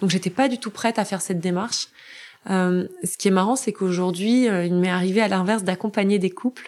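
On a very clean recording with a silent background, a woman speaks fairly quickly in a medium pitch with fairly even intonation. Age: 40s. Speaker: finance professional and bereaved mother. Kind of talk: personal testimony interview. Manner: fluent.

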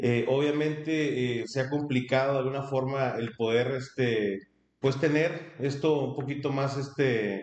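The man's intonation stays fairly even. His voice sits at a medium pitch. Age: 30s. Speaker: human resources manager. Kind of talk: interview. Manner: halting.

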